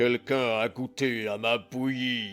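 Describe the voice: A man performs a gruff, put-on character voice at a medium pitch. He talks at a fairly slow pace with faint music in the background.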